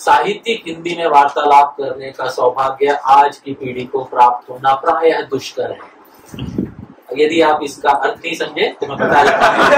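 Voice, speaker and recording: Against noticeable background noise, a man with a fairly high voice shows ordinary pitch variation and big swings in loudness. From Maharashtra, India. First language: Marathi (speaking Hindi). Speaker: spiritual teacher. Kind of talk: religious talk. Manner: formal Sanschritised Hindi.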